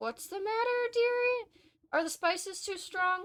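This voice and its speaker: In a squeaky, put-on character voice, a woman speaks at an extremely high pitch with lively intonation and a moderate pace. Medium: game stream.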